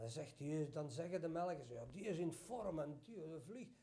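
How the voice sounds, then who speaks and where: High-pitched and lively in intonation, a man speaks at a fairly slow pace amid audible room echo. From Belgium (Flanders). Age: 60s. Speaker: pigeon fancier. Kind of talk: interview.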